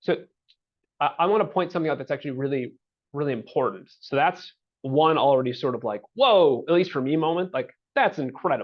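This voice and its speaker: A man's fairly high voice with lively intonation at a fairly quick pace. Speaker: housing agency director. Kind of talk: webinar presentation. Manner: fast; halting, many fillers.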